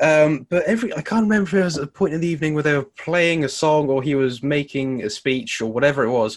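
A man with an English accent, fairly high-pitched, lively in intonation, talking very fast with hardly any pauses. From England. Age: 20s. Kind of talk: casual chat.

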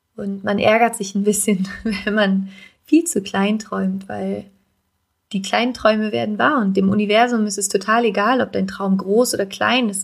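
A woman with an unremarkable speaking voice, at a moderate pace and with fairly even intonation. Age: 20s. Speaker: podcast host and life coach. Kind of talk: solo podcast monologue.

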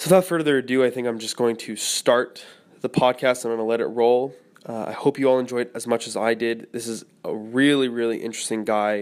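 Speaking with an unremarkable speaking voice, a man holds a medium pitch and fairly even intonation. The recording is very clean with a silent background. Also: fairly quick pace. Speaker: podcast host. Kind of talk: casual interview chat.

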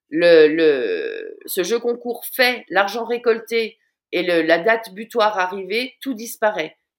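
A woman's intonation stays lively as she talks very slowly. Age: 40s. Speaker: social media watchdog and content creator. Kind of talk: interview. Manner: halting, with many repeated words.

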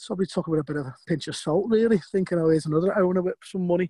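Speaking at a fairly quick pace with a Liverpool accent, the voice has a dark, mellow tone and a dry, close sound with no echo. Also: man. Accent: Scouse. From Liverpool, England. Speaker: former footballer and football agent. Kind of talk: casual interview.

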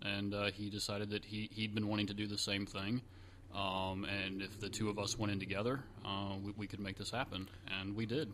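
The speech runs at a fairly quick pace with monotone, flat intonation. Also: man, fairly low pitch for a man. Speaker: real estate investor. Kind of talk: interview answers.

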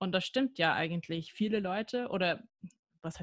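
With an American accent, a woman talks at a fairly quick pace against a quiet background in a dry, close sound with no echo. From US, near Washington DC. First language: English (speaking German). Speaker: sport psychologist and neuroscientist. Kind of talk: podcast interview.

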